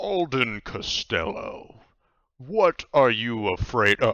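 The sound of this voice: A man puts on a character voice at a medium pitch. He speaks at a very slow pace with very wide pitch swings.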